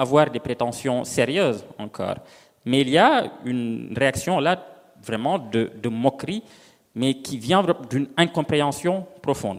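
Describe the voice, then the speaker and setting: Speaking at a fairly slow pace, a man with an unremarkable speaking voice uses lively intonation at a fairly high pitch. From Senegal. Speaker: novelist. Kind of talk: panel discussion.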